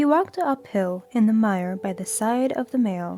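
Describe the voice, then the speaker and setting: Music plays in the background as a woman talks with lively intonation. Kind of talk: audiobook reading; sleep story. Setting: soft background music.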